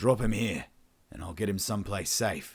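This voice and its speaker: Putting on a character voice with an Australian accent, a man speaks in a raspy, fairly low register at a moderate pace with fairly even intonation. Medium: read story. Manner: dry, swearing, casual.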